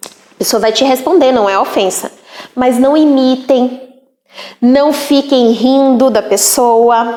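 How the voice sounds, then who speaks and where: A high-pitched woman speaks at a very slow pace with fairly even intonation and big swings in loudness. Audible room echo surrounds her voice. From Northeast Brazil. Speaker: teacher. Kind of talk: lecture. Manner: casual.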